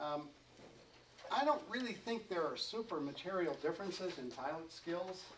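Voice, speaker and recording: A man talks at a moderate pace with ordinary pitch variation. The room echo is audible. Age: old. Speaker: glider racing pilot and seminar speaker. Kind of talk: seminar talk. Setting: seminar room with audience. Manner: mumbling; halting, many fillers.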